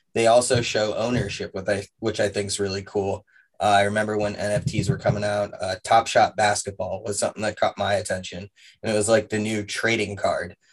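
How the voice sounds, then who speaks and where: Somewhat breathy and fairly low-pitched, a man talks at a fairly quick pace in a flat monotone. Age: 30s. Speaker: social media marketer. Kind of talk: casual chat.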